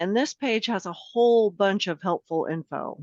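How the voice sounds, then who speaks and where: Here is an unremarkable speaking voice with ordinary pitch variation at a fairly slow pace. The background is quiet. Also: woman, dry, close sound with no echo. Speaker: legislative information staffer. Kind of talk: tutorial. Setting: video call.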